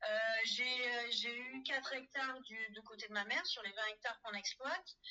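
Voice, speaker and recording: A woman speaks at a moderate pace. Her high pitch shows ordinary variation. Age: 40s. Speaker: farmer. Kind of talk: testimony. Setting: phone call. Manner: halting.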